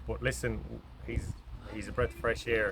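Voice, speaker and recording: Someone talks at a very fast pace with an Irish accent. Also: man. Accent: Irish (Mayo). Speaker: football manager. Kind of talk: post-match interview.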